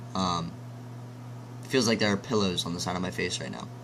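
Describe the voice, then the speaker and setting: Noticeable background noise sits behind a man's fairly low voice. His pitch varies in an ordinary way. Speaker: tech reviewer. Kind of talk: product review. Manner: casual, hesitant with many ums; loud.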